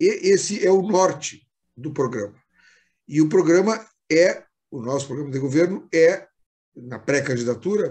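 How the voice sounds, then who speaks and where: Lively intonation marks this man's speech. His pitch is fairly high and his pace moderate. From southern Brazil, Rio Grande do Sul. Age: 60s. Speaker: politician. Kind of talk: interview. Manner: halting.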